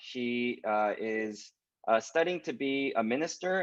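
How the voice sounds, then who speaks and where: Speaking at a fairly slow pace, a man with a West Coast US accent talks at medium pitch. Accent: General American, West Coast. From Southern California (Los Angeles). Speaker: pastor. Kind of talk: webinar interview hosting. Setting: video call webinar.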